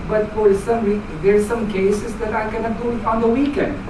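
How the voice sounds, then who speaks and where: A woman with a Filipino accent amid noticeable background noise and audible room echo. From Philippines. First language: Filipino language. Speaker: club member giving speech. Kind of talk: prepared speech. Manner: halting.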